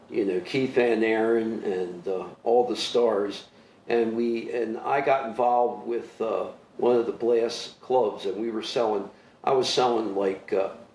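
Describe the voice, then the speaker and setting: There is audible room echo as a man with an American accent talks at a medium pitch. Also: fairly even intonation, fairly slow pace. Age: 70s. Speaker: soccer official and former coach. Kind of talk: interview. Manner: halting, many fillers.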